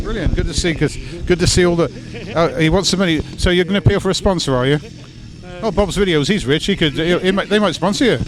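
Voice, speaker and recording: Over background music, a man speaks very fast at a high pitch with ordinary pitch variation. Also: very even loudness. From West Country. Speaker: event interviewer. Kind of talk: interview.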